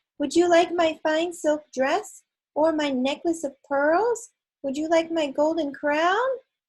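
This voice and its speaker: A put-on character voice carries the words at a fairly slow pace. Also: woman, extremely high pitch for a woman, ordinary pitch variation. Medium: read story.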